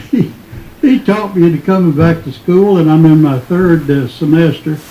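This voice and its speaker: Over noticeable background noise, a man with an Appalachian accent speaks at a moderate pace, high in pitch, with ordinary pitch variation. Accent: Appalachian Kentucky. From Eastern Kentucky, Hazard area. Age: 80s+. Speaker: retired teacher and songwriting student. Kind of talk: radio interview. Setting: radio studio.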